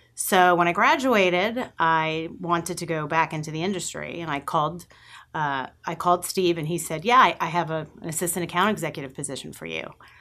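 A woman with a Long Island accent speaks fairly quickly against a quiet background. Her voice is fairly low, bright and sharp, with ordinary pitch variation. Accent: Long Island New York. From Long Island, New York. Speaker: agency president. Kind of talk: interview. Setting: live-streamed studio interview.

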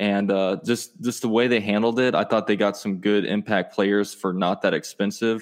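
A man with a fairly low pitch and fairly even intonation speaks at a moderate pace in a plain, everyday voice. His loudness stays very even over a quiet background. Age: 20s. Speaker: sports YouTuber. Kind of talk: casual chat.

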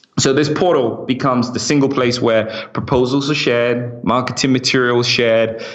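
With an American accent, a man talks at a moderate pace in a medium pitch, his intonation fairly even and his loudness very even over noticeable background noise. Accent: British with slight American twang. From London, England. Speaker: startup founder. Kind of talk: casual interview. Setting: remote call.

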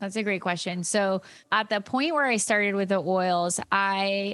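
A woman at medium pitch and a moderate pace, over a quiet background. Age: 30s. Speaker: yoga teacher and essential oils business leader. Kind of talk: interview.

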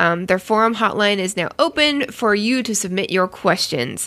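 A woman's medium-pitched voice carries ordinary pitch variation. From Canada. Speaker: podcast co-host. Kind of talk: casual chat.

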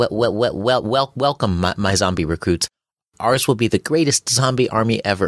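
In a put-on, squeaky character voice of medium pitch, a man speaks at a fairly slow pace on a very clean recording with a silent background. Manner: weak, unconvincing, not commanding.

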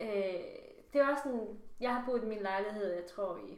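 Her voice sits fairly high, with ordinary pitch variation and a fairly slow pace. Room echo is audible around the woman. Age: 20s. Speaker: podcast co-host. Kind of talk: casual chat.

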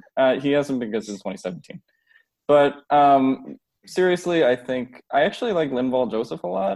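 A man has an ordinary speaking voice at medium pitch. He talks at a moderate pace with lively intonation. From Philadelphia / New Jersey, US. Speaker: sports writer. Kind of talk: casual chat.

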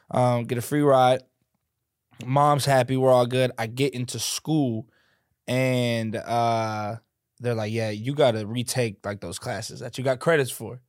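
In a very clean recording with a silent background, a man speaks at a fairly slow pace. He has a normal speaking voice, medium in pitch, with fairly even intonation. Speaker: content creator. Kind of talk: casual chat.

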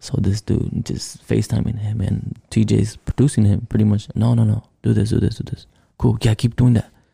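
A man speaks at a fairly quick pace in a fairly low pitch. His pitch varies in an ordinary way, and the sound is dry and close with no echo. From Los Angeles, California. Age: 20s. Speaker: musician. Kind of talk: casual chat.

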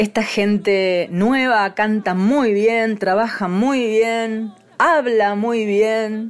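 A woman's fairly high voice at a very slow pace, very even in loudness, with hardly any pauses. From Argentine provinces. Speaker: radio host and folk singer. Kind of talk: radio program hosting. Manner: warm, animated.

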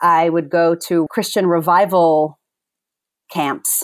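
In a very clean recording with a silent background, a woman with an unremarkable speaking voice talks at a fairly low pitch with fairly even intonation. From moved between countries, later US (Virginia). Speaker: facilitator and author. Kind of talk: interview conversation.

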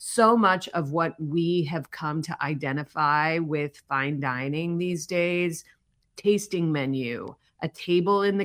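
Pitch shifts in an ordinary way. The delivery is very slow. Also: woman. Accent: American. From US Midwest, Chicago area. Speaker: documentary director. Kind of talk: interview.

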